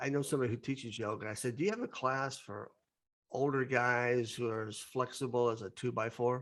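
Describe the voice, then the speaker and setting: On a very clean recording with a silent background, a man with a normal speaking voice and medium pitch talks at a fairly quick pace with fairly even intonation. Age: 60s. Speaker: podcast host. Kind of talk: casual chat.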